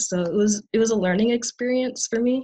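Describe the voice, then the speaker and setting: A woman talks with fairly even intonation in a somewhat breathy voice. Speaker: college student. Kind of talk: conference panel presentation.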